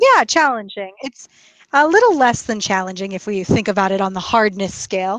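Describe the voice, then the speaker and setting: In an American accent, a woman with an ordinary speaking voice talks at a fairly quick pace, her medium pitch showing ordinary variation. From USA. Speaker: English teacher. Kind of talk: casual chat.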